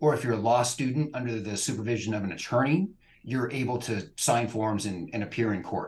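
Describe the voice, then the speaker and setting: With a West Coast accent, a man talks at a fairly quick pace, somewhat breathy, with ordinary pitch variation. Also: medium pitch for a man. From California. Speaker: immigration lawyer. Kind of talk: interview.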